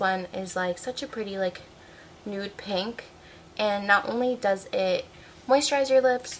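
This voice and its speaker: Noticeable background noise sits behind the voice. A woman speaks at medium pitch. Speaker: beauty content creator. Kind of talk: casual product review vlog. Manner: animated.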